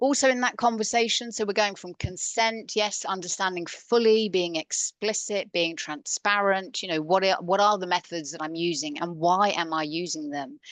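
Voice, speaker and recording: A woman speaks at a moderate pace in a plain, everyday voice of medium pitch, with ordinary pitch variation and hardly any pauses. The sound is dry and close with no echo, over a quiet background. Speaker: coach. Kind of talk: conference talk.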